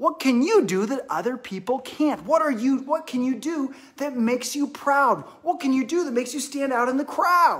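A man speaks in an animated, upbeat tone. His pace is moderate, and the background is quiet. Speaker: fitness instructor for kids. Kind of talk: live online kids exercise class, guiding movements. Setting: living room, live stream. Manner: animated, upbeat, encouraging, clear simple directions to children. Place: home room. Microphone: phone near.

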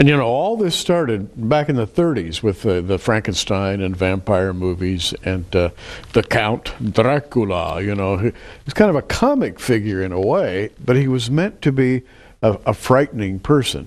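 A man talks in a normal speaking voice at a medium pitch. He speaks at a fairly slow pace with lively intonation. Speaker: TV show host. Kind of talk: interview about Bible prophecy. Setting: studio.

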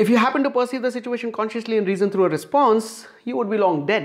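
A man talks at a very fast pace in an Indian accent. The background is quiet. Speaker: science video creator. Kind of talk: scripted science narration. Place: home room. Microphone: lapel.

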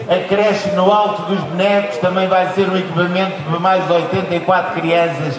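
Through noticeable background noise and audible room echo, a man with a high pitch speaks at a fairly slow pace, monotone and flat, his loudness very even. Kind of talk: public speech. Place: stage.

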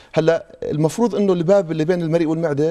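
Against a quiet background, a man speaks at a high pitch and a fairly quick pace with ordinary pitch variation. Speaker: guest. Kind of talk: interview answer. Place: studio. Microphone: lapel.

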